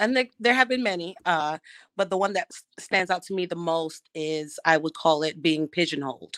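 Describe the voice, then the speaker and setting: A woman speaks with an American accent and lively intonation, at a fairly low pitch. The sound is dry and close, with no echo. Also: very clean recording, silent background. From Brooklyn, New York. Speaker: school principal. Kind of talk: casual chat.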